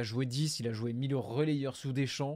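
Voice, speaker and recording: A man's dark, mellow voice at a fairly slow pace, on a very clean recording with a silent background. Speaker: football YouTuber. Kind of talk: live stream, football talk and viewer Q&A. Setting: home webcam live stream.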